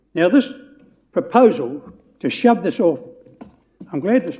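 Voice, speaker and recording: Speaking at a moderate pace, a man with a New Zealand accent swings his pitch very widely. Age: 80s+. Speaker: public submitter at council hearing. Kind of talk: public hearing submission. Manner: halting, repetitive.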